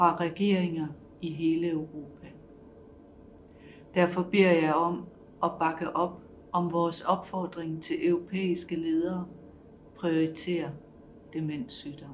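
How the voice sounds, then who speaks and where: In a monotone, flat intonation, a woman speaks very slowly at a fairly low pitch. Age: 60s. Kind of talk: testimony.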